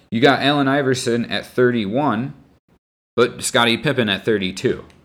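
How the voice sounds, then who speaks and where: At a moderate pace and medium pitch, a man talks in an ordinary speaking voice on a very clean recording with a silent background. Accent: American. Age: 20s. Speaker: teacher and sports podcaster. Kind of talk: solo opinion podcast.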